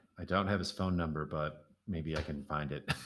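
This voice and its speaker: A man talks at a moderate pace, captured in a very clean recording over a silent background. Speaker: musician and podcast host. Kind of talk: interview.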